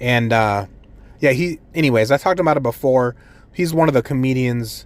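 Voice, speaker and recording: An animated tone from a man with a medium pitch and ordinary pitch variation. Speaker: amateur stand-up comedian and podcaster. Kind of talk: casual solo podcast monologue. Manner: rambling with many filler words and restarts.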